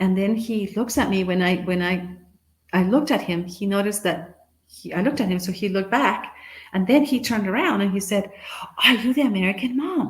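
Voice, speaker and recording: With a Guatemalan accent, a woman talks at a fairly quick pace and medium pitch, with ordinary pitch variation and audible room echo. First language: Spanish. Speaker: motivational speaker. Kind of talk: conference talk, storytelling. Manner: animated.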